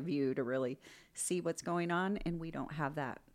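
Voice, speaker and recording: This woman has a very deep, low pitch and speaks at a moderate pace. The recording is very clean, with a silent background. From Inland Northwest (Coeur d'Alene / Spokane). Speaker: paramedic and nonprofit founder. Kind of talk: casual interview. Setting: library, in person.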